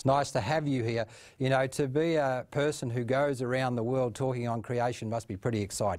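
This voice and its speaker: In a very clean recording with a silent background, a man at medium pitch talks at a fairly quick pace with fairly even intonation. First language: not English. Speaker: TV program host. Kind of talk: TV interview.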